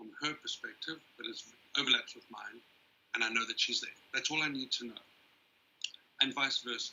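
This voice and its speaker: A man talks at a moderate pace. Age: 60s. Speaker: panelist with bipolar disorder. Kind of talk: panel discussion.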